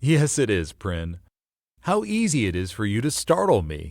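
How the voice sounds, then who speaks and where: In a put-on character voice, a man speaks with a fairly low pitch and very wide pitch swings, on a very clean recording with a silent background. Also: moderate pace. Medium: read story. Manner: friendly, laughing.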